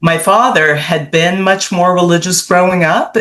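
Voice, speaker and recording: This is a woman speaking with a Canadian accent. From Canada, Toronto. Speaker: author. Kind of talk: interview.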